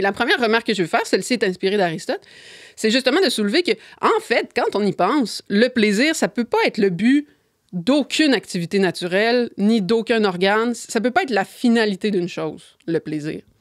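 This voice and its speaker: Over a quiet background, a woman talks at a fairly quick pace in a fairly high pitch with lively intonation. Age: 30s. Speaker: philosophy columnist; podcast guest. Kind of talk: casual chat. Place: studio. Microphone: studio mic.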